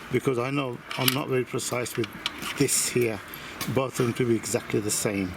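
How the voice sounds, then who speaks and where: At a fairly slow pace, a man talks in a medium pitch with fairly even intonation amid noticeable background noise. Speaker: hobbyist model engine builder. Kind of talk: workshop tutorial. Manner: loud; hesitant, many fillers.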